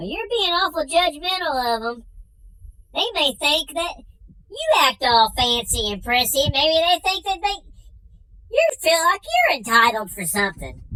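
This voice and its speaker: A squeaky, high-pitched put-on character voice at a moderate pace. It breaks often into long pauses. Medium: comedy sketch. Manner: dry, matter-of-fact.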